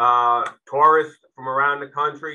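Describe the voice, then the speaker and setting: At a moderate pace, a man with a New York accent talks in a fairly high, flat monotone. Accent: Bronx New York. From New York City, the Bronx. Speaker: retired police chief. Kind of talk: briefing talk. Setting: video call. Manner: hesitant fillers.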